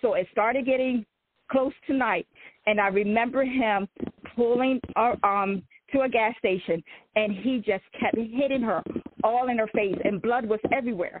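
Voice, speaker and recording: An ordinary speaking voice: a woman with an American accent, fairly high pitch, ordinary pitch variation, very even loudness and a moderate pace. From Eastern Shore of Maryland (Salisbury). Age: 40s. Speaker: author. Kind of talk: interview, personal testimony.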